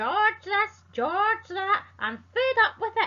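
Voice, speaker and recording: Shouting at a very slow pace, a woman uses a put-on character voice at an extremely high pitch. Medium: read story. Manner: nasty, shouting.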